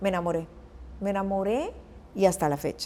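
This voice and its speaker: Her voice sits at a medium pitch for a woman. The tone comes across dark and mellow. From Costa Rica. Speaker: journalist and news anchor. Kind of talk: interview answer.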